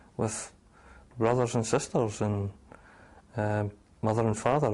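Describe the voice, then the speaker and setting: A man speaks with a Scottish accent at a moderate pace. His pitch is medium. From Scotland, after early childhood in Oregon. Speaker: abduction survivor interviewee. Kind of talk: documentary interview testimony. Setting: on location in Edinburgh.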